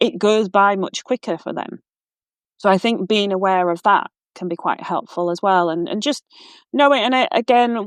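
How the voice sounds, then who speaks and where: A woman with a Yorkshire accent speaks at a fairly quick pace, the sound dry and close with no echo against a quiet background. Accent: broad Yorkshire. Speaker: walking coach. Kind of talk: interview conversation. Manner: hesitant, many fillers and restarts.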